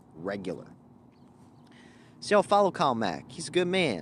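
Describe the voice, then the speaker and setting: In a very clean recording with a silent background, a man talks at a moderate pace with vocal fry and very wide pitch swings. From Louisiana, Cajun. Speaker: livestream host. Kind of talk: casual livestream chat.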